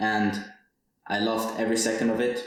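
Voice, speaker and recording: A man's fairly slow speech, carrying audible room echo. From Switzerland, Zurich area. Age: 20s. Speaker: podcaster, university student. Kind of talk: personal monologue podcast. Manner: some hesitations and repeated words.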